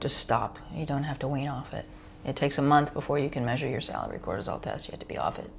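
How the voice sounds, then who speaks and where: Vocal fry runs through this woman's very deep, low voice. She talks at a very fast pace with monotone, flat intonation. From US, New York. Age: 60s. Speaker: physician. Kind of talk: interview Q&A.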